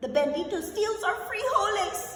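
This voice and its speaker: Someone puts on a character voice at an extremely high pitch, talking at a moderate pace with a clear echo. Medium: read story. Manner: laid-back, slangy.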